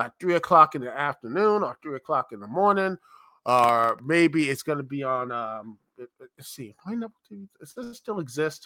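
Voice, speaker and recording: Bright and sharp in tone, a man's fairly high voice swings very widely in pitch at a moderate pace, the sound dry and close with no echo in a very clean recording with a silent background. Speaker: livestream host. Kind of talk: live-streamed radio-DJ-style patter, casual chat. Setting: live stream on YouTube. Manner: upbeat showman greeting, chatty; rambling, halting while searching notes.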